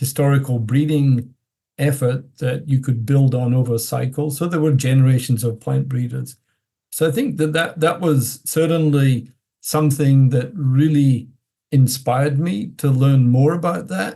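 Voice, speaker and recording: This man speaks at a fairly slow pace at a medium pitch, his intonation fairly even. His tone is dark and mellow, and somewhat breathy. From Scotland. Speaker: plant breeding professor. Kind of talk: interview.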